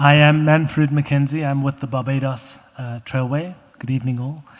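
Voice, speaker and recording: The speaker talks at a moderate pace in a South African accent with fairly even intonation. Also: man. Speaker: trail organization representative. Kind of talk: public comment at meeting.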